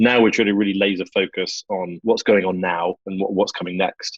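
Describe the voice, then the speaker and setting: With a British accent, a man speaks at a fairly quick pace against a quiet background, in a dry, close sound with no echo. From London, England. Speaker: podcast host. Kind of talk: casual podcast chat.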